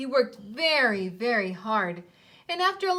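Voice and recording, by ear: The text is being read aloud. It sounds natural.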